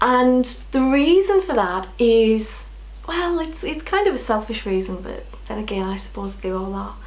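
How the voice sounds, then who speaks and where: A woman at a moderate pace amid noticeable background noise and audible room echo. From northeast England. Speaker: knitting podcaster. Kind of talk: casual chat.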